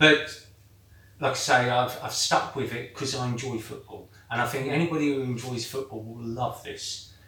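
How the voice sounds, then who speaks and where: A man's medium-pitched voice at a moderate pace, monotone and flat in intonation, with big swings in loudness and noticeable background noise. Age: 50s. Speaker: weight-loss football programme member. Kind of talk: casual chat. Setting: hot indoor room. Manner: halting.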